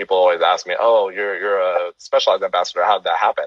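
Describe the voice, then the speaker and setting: A man speaks with a Californian accent. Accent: American (Californian). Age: 30s. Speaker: cyclist and photographer, podcast host. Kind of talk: casual interview chat. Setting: video call, live stream.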